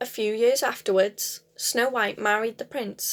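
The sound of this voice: The unforced reading voice moves through ordinary pitch variation.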